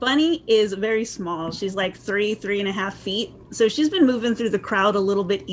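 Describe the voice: This recording is plain reading aloud.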